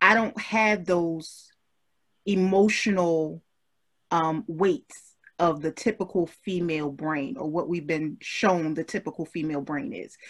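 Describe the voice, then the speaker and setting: A woman speaks at a fairly slow pace in a fairly low pitch. Her pitch variation is ordinary. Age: 30s. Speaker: podcast host. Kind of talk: casual chat. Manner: animated.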